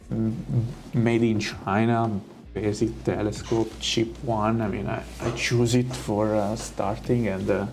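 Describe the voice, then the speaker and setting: Music plays in the background as a man speaks at a very slow pace with a fairly low pitch. His pitch varies in an ordinary way, and room echo is audible. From Italy. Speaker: astrophotography streamer. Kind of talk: casual live stream chat. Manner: hesitant, many fillers.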